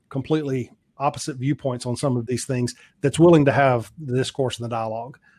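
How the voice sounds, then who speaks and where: Speaking with a Southern US accent, a man talks at a fairly quick pace in a medium pitch with ordinary pitch variation over a quiet background. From US South. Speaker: podcast guest. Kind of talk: casual chat.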